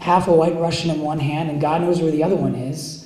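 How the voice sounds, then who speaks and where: A man with an American accent and fairly high pitch, with audible room echo and noticeable background noise. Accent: Philadelphia accent, only when back there. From US Northeast, Philadelphia. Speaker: poet. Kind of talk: poetry reading. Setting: cafe reading with audience.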